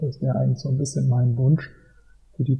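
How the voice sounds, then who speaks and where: The man's voice is somewhat breathy and medium in pitch. His intonation stays fairly even. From Germany, Mainz. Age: 40s. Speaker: football fan blogger and travel author. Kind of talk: casual interview.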